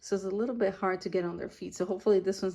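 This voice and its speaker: On a very clean recording with a silent background, a woman speaks at medium pitch in a dark, mellow tone. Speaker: doll collector YouTuber. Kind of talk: unboxing review. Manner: halting, many fillers; whispering.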